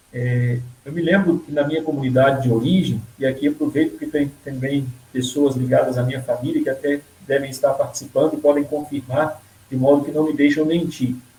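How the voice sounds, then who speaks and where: Fairly quick, monotone speech from a man with a fairly high pitch, over noticeable background noise. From Brazil, rural Minas Gerais (Caranaíba area). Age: 30s. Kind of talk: personal vocation testimony in a live interview.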